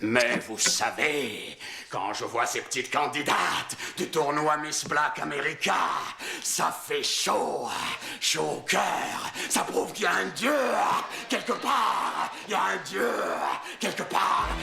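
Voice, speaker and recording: Over loud background noise with a slight echo, a put-on character voice speaks at a fairly slow pace. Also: man. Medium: fan dub. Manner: calm, measured.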